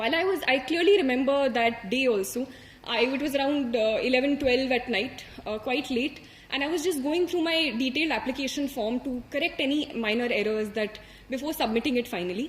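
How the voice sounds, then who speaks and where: A woman talks at a fairly quick pace with a high pitch and ordinary pitch variation. Noticeable background noise runs beneath her. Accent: Indian. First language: Hindi. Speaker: civil service exam topper. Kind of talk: motivational talk. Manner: hesitant, many fillers.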